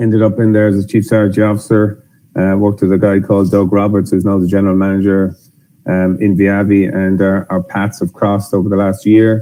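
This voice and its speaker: A man speaks fairly quickly with an Irish accent, his pitch fairly low. His tone is dark and mellow, and his intonation is monotone and flat. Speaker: software company executive. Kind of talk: webinar presentation.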